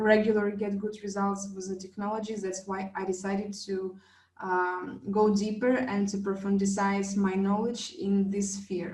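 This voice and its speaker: A woman with a non-native accent speaks at a fairly slow pace and a medium pitch, hardly pausing. Her voice is somewhat breathy, and the room echo is audible. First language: not English. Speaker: wellness device trainer. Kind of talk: online class presentation. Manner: halting, many fillers.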